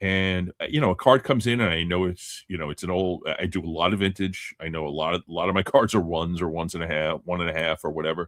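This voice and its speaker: A man with a very deep, low pitch races along at a very fast pace with hardly any pauses. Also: ordinary pitch variation. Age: 60s. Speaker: sports card collector and podcast panelist. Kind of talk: casual panel chat on live call-in show.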